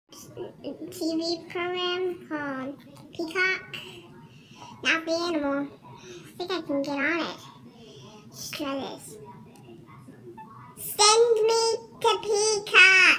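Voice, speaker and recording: This cartoonish character voice sits at an extremely high pitch and moves at a very slow pace, with long, frequent pauses. Background noise is clearly audible. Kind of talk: casual puppet skit.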